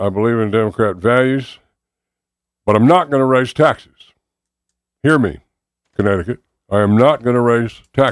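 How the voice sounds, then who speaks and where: This man speaks at a medium pitch with ordinary pitch variation and a moderate pace. His long pauses come frequently. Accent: Southern US. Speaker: political candidate. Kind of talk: radio interview. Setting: studio.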